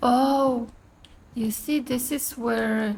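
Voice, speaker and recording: Very slowly and with fairly even intonation, a woman speaks in a high pitch with a non-native accent. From outside the US. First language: not English. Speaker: gaming streamer. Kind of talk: gameplay commentary. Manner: casual, conversational.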